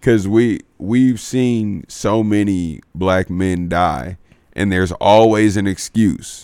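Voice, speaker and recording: A man with an American accent speaks very slowly in a fairly low voice, his dark, mellow tone carrying ordinary pitch variation. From Houston, Texas. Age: 20s. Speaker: comedian. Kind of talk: casual chat.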